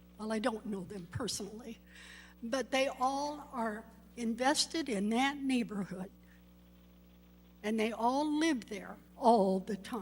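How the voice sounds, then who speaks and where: Somewhat breathy and fairly high in pitch, a woman talks at a very slow pace with ordinary pitch variation and long, frequent pauses. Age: 70s. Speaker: public commenter, resident. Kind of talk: public comment at council meeting. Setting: city council meeting.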